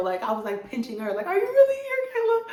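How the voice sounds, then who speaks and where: A woman is speaking. Audible room echo is present. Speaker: YouTube storyteller. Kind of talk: storytime monologue. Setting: home. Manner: animated.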